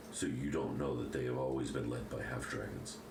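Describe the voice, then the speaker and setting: A man does a put-on character voice at a fairly quick pace. Loud background noise and a slight echo accompany him. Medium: actual play. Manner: sardonic, cutting.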